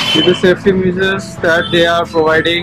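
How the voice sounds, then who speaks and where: Loud music plays in the background. A man speaks at a very slow pace. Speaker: food vlogger. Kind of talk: casual vlog chat. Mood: relaxed, cheerful. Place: cafe. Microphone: phone near.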